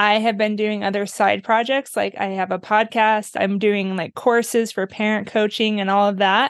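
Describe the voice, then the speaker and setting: Against a quiet background, a woman with a fairly high pitch talks at a moderate pace. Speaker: music therapist. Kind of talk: interview. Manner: loud.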